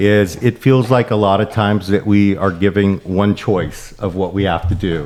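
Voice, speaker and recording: Noticeable background noise behind a man pitched fairly low. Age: 50s. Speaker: podcast host. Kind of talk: podcast interview.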